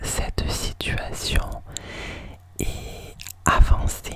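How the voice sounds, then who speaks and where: Whispering in a gentle tone, a woman speaks very slowly against noticeable background noise. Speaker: ASMR creator and oracle card reader. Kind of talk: ASMR relaxation card reading to help sleep. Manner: soft, gentle, repetitive greetings.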